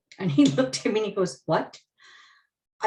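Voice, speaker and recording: A woman's somewhat breathy, medium-pitched voice at a very fast pace, with very wide pitch swings. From Manitoba reserve, Canada. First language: Ojibwe. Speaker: media professional. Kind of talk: webinar panel discussion.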